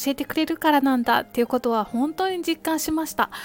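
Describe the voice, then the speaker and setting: A woman speaks with a gentle tone and lively intonation. The sound is dry and close with no echo, with music in the background. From Kansai, Japan. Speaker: podcaster. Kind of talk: casual monologue. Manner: polite, gentle.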